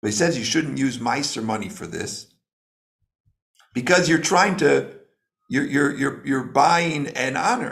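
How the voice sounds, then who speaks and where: A man speaks with vocal fry at a fairly high pitch, his intonation lively and broken by long, frequent pauses. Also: fairly slow pace. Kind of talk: lecture. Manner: slow, deliberate; halting, many fillers.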